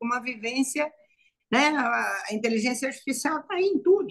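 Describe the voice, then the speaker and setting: This woman speaks with a high pitch. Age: 70s. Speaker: psychologist. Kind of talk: live panel discussion. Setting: online live stream. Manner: halting, repetitive.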